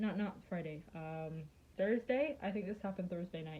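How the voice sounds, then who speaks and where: Somewhat breathy and dark, mellow in tone, a woman speaks at medium pitch and a moderate pace with ordinary pitch variation. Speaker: YouTuber. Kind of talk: casual vlog.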